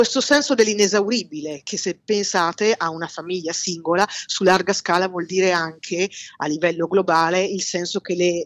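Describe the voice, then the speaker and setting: Her voice is a woman's, with ordinary pitch variation. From Milan, northern Italy. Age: 40s. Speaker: historian. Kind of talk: casual chat.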